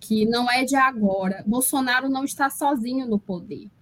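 Her pitch is high. The woman's voice rises and falls with ordinary pitch variation. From Brazil, Amazonas (Parintins). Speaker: linguistics professor. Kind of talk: interview on live political show.

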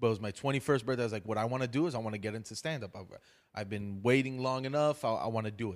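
In an American accent, a man talks at a very fast pace with medium pitch and ordinary pitch variation. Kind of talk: casual chat with comedic storytelling. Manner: animated.

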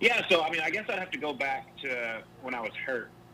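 A man speaks with an American accent at a moderate pace. Background noise is noticeable. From US Midwest, Ohio. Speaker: retired pro golfer and podcaster. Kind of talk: casual interview chat.

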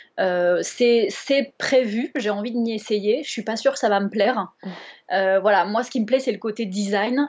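Her pitch fairly high, a woman speaks at a fairly slow pace with ordinary pitch variation. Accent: Bordeaux. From Bordeaux, southwest France. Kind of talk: casual interview chat. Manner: hesitant, many fillers.

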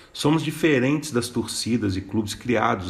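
With lively intonation and a somewhat breathy voice, a man talks at a moderate pace amid audible room echo. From Minas Gerais, Brazil (Mariana). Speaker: podcast host, journalist and writer. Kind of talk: scripted narration of chronicles.

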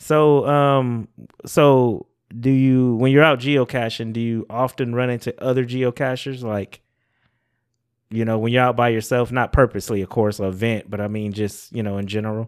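A man's normal speaking voice, medium in pitch, with fairly even intonation at a moderate pace. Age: 40s. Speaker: podcast host. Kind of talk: casual chat.

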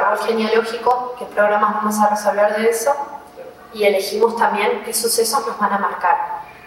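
Noticeable background noise and audible room echo surround a woman speaking at a moderate pace in a fairly high pitch. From Argentina, Neuquén. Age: 20s. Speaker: emotional therapist. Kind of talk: interview conversation. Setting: hotel room.

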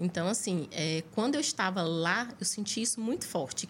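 At a moderate pace, a woman with a Piauí accent speaks in a medium pitch, somewhat breathy. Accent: Northeastern Brazilian (Piauí) Portuguese. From Piauí, Brazil. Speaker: chef and nurse, cooking show finalist. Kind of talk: podcast interview.

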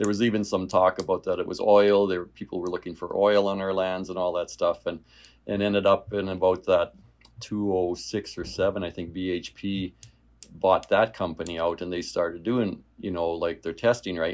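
In a very clean recording with a silent background, a man with a Canadian prairie accent speaks at a moderate pace in a very deep, low pitch and a flat, monotone intonation. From rural Saskatchewan, Canada. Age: 50s. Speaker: realtor and former farmer. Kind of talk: casual interview.

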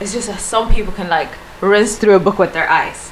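A woman speaks with a Swedish accent. Noticeable background noise runs underneath. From Sweden, small city. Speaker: content creator and architecture student. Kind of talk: casual chat. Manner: halting.

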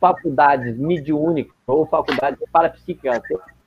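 This man's voice sits fairly high in pitch. Noticeable background noise runs underneath. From southern Brazil, Caxias do Sul (Rio Grande do Sul). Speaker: volunteer and medium. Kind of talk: casual interview.

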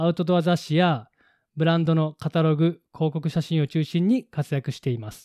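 A man speaks in a fairly high pitch with a dark, mellow tone. The sound is dry and close with no echo, and his pitch variation is ordinary. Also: moderate pace, very clean recording, silent background. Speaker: podcast co-host. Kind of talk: casual chat.

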